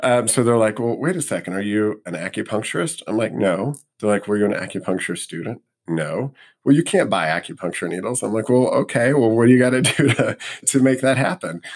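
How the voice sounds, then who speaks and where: A man's ordinary speaking voice at medium pitch, with lively intonation and an American accent. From US Midwest, Missouri (St. Louis). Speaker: acupuncturist. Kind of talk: interview conversation.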